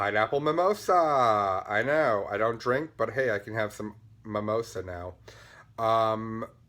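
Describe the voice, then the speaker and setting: Talking at a fairly slow pace, a man keeps a medium pitch with ordinary pitch variation. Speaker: knitting podcast host. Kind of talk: casual vlog chat. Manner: animated.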